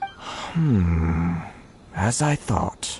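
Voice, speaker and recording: A put-on character voice speaks at a low pitch. Clear background noise is present. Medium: video game. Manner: polite, measured.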